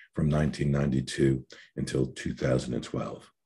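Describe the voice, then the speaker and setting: Fairly quick in pace, a man talks in a dark, mellow tone marked by vocal fry. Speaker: webinar moderator. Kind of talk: formal introductions. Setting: online webinar video call. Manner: fast.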